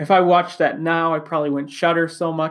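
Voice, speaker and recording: Over a very clean recording with a silent background, a man with an Upper Midwest accent speaks with fairly even intonation. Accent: Upper Midwest American. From Wisconsin. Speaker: podcast host. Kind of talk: solo monologue.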